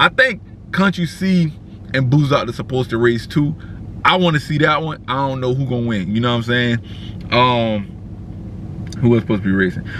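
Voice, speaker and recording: At a moderate pace, a man with a medium pitch speaks in an animated tone with lively intonation. The sound is dry with no echo, over light background noise. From South Carolina. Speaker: car culture vlogger. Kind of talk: casual vlog recap. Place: car. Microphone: phone near.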